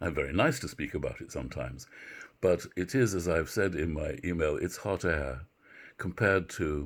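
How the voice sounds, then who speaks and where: In a very clean recording with a silent background, a man with a British accent and a very deep, low pitch talks at a moderate pace with vocal fry and lively intonation. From Britain. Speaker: university literature professor. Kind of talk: lecture. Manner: halting, many filler words.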